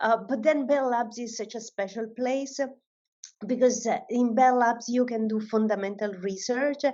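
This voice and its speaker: With an Italian accent, a woman speaks at a fairly high pitch using fairly even intonation. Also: moderate pace. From Italy. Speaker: AI research director. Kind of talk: panel discussion.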